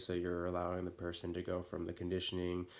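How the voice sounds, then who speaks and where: A man's very deep, low voice. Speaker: fitness instructor. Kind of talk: fitness lecture, instructional talk. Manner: casual, many filler words.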